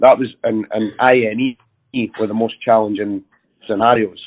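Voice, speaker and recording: Delivered at a moderate pace with fairly even intonation, the voice carries a Scottish accent. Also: man. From Scotland. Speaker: network engineer. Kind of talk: casual discussion.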